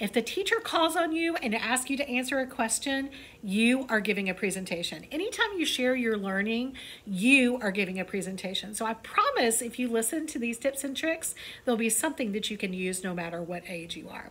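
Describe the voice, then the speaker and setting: Over noticeable background noise, a woman speaks fairly quickly in a fairly high pitch and an animated tone. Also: lively intonation. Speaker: elementary school staff presenter on school broadcast. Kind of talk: school morning show lesson for children. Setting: school video broadcast. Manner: animated, varied pitch.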